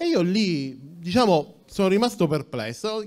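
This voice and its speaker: Lively intonation runs through this man's speech. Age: 40s. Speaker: tech entrepreneur; conference speaker. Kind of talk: conference talk. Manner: halting, many fillers. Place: hall. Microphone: handheld.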